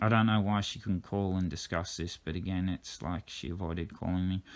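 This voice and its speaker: In an Australian accent, the voice is monotone and flat, on a very clean recording with a silent background. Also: man. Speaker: driver disputing a drink-driving case. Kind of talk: reading out text messages with commentary. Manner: halting, fumbles words; uneven pace, fast at times.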